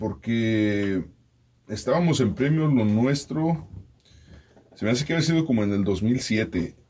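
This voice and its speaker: This man has a fairly low pitch with very wide swings, a somewhat breathy quality and a dark, mellow tone. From Mexico. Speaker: radio host and podcaster. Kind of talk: casual chat.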